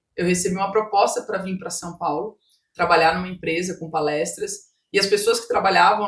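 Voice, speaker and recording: At a fairly quick pace, a somewhat breathy woman speaks with ordinary pitch variation. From Brazil, Mato Grosso do Sul. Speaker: business owner and coach. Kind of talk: podcast interview, personal testimony.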